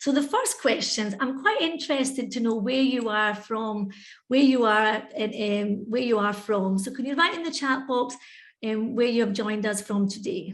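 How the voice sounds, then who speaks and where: Audible room echo surrounds a woman speaking in a Scottish accent with ordinary pitch variation. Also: fairly high pitch for a woman, moderate pace. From Scotland. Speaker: English teacher and webinar presenter. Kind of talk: educational webinar presentation. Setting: online video webinar. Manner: conversational, interactive.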